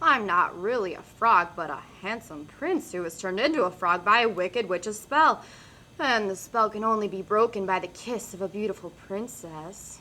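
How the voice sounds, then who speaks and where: A woman uses a put-on character voice at medium pitch. She talks at a moderate pace. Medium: read story. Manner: sad and pathetic voice.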